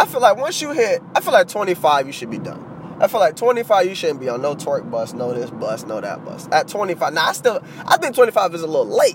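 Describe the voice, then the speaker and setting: Animated in tone, a man with a high pitch speaks at a moderate pace, his pitch swinging very widely and his loudness varying a lot. Noticeable background noise runs underneath. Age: 20s. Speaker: podcast host. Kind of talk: casual solo podcast monologue.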